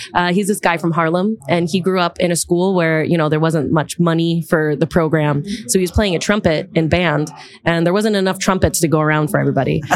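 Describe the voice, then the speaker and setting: Speaking in a New York accent, a woman talks at a fairly quick pace, her fairly low voice keeping a fairly even intonation. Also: very even loudness. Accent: New York American. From US, Long Island, New York. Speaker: beatboxer and educator. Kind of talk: casual interview.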